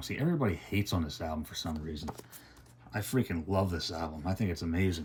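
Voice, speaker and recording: The voice belongs to a man and sits at a very deep, low pitch. It shows ordinary pitch variation. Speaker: music collector YouTuber. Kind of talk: unboxing review. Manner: quieter than usual, subdued; normally loud.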